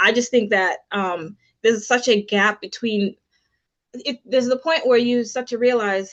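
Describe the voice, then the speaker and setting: Against a quiet background, a woman with a fairly high pitch speaks at a moderate pace. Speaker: financial professional launching her business. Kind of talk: webinar presentation. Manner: hesitant with many fillers.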